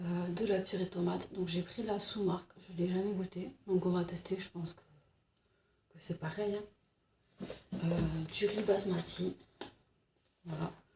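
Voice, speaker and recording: A soft-spoken woman talks at a fairly slow pace with long, frequent pauses. Her intonation is monotone and flat. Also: medium pitch for a woman. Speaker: vlogger. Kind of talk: casual chat. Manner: hesitant.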